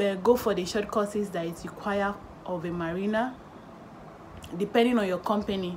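Against light background noise, a woman speaks at a fairly quick pace with fairly even intonation. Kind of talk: tutorial. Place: home room. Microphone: phone near.

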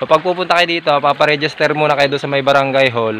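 With ordinary pitch variation, a man speaks over light background noise in a dry sound with no echo. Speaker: cyclist vlogger. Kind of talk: casual vlog chat. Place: forest. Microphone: phone near.

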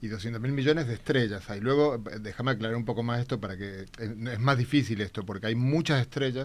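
At a fairly quick pace, a man talks with hardly any pauses. His pitch varies in an ordinary way. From Argentina. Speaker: theoretical physicist; guest. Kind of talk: popular science explanation. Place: studio. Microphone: studio mic.

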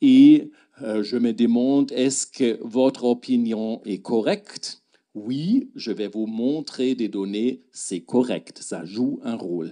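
Over a quiet background, a man with a German accent speaks at a very slow pace in a dark, mellow tone with ordinary pitch variation. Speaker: gastroenterologist. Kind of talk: lecture. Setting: stage with audience. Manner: halting. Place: hall. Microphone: handheld.

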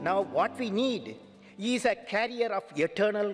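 Against a quiet background, a man with a Tamil Indian accent talks at a high pitch. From Tamil Nadu, India. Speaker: aerospace scientist, former head of state. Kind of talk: formal speech to a parliament. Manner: slow, repetitive, poetic. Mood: earnest, uplifting. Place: hall. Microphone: podium.

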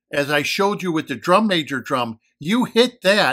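Against a quiet background, a man speaks in a bright, sharp tone with very wide pitch swings. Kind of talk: explanatory commentary. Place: home room. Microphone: phone near.

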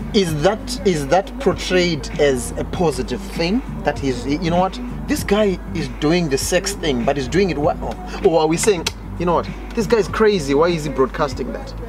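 A man talks at a moderate pace. Clear music can be heard in the background. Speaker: guest. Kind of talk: casual discussion. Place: garden.

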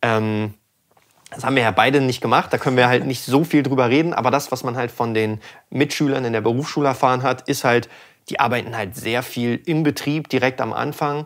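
Against a quiet background, a man talks at a fairly quick pace and medium pitch with fairly even intonation. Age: 20s. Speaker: sound engineer and channel host; channel host. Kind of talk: casual chat. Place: studio. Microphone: studio mic.

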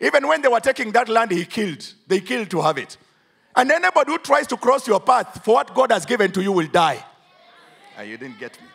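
A man's high, animated voice at a very fast pace, with very wide pitch swings and big shifts in loudness over a quiet background. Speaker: preacher. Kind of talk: sermon. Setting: church. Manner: animated, call-and-response; emphatic, declamatory. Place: church. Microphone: handheld.

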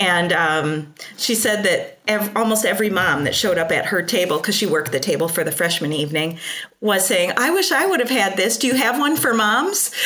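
Fairly quick speech with very wide pitch swings and very even loudness, over noticeable background noise. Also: woman, medium pitch for a woman. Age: 40s. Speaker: podcast co-host, pattern maker. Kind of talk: casual chat.

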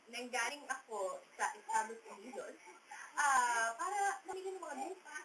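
A woman speaks in a raised, projected voice at a high pitch. Her pitch swings very widely at a moderate pace. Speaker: countdown show host. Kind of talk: casual chat. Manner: animated.

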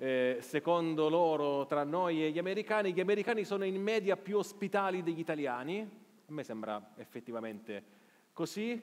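At a moderate pace, a man speaks with a high pitch and lively intonation. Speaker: journalist and live show host; journalist, live show host. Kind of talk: live interview on stage. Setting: theater stage with audience. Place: stage.

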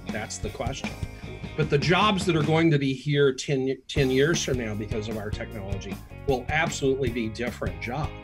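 At a moderate pace, a man talks as clear music sounds in the background. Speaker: podcast guest. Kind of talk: interview answer. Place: home room.

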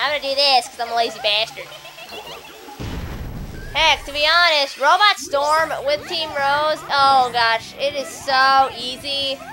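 A woman's high-pitched, raised, projected voice with long, frequent pauses and music in the background. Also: ordinary pitch variation, fairly slow pace. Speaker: let's player. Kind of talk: casual gameplay commentary.

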